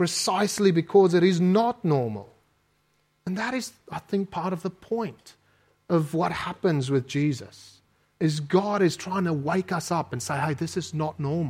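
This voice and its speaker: A man's high-pitched voice at a moderate pace, with ordinary pitch variation. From South Africa. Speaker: preacher. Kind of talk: sermon. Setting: church.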